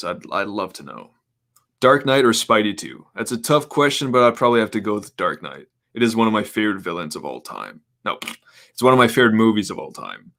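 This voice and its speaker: Medium-pitched male voice with a bright, sharp tone and vocal fry, very fast, with ordinary pitch variation and big swings in loudness, on a very clean recording with a silent background. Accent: American. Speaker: live streamer. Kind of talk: casual live Q&A chat.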